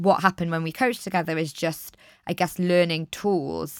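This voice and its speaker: An ordinary speaking voice with fairly even intonation, in a very clean recording with a silent background and a dry, close sound with no echo. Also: woman. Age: 30s. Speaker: life coach and podcast host. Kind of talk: casual interview chat.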